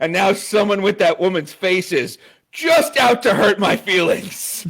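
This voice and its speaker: His intonation is lively and his pitch high for a man. The pace is moderate. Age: 30s. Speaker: podcast guest. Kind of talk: casual chat.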